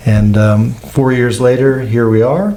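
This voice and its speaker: Noticeable background noise and audible room echo surround a man with an American accent. He talks at a fairly slow pace with fairly even intonation. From United States. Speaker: olive oil producer. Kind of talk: podcast interview. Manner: hesitant, many fillers.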